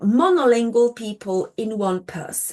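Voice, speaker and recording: A woman speaking at a very slow pace against a quiet background. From Poland. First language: Polish. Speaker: linguistics lecturer. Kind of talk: lecture. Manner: halting, with many fillers.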